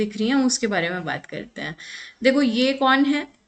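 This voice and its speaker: The background is quiet as a woman talks, her pitch varying in an ordinary way. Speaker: psychology exam lecturer. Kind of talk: online lecture. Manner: Hindi-English code-mixing.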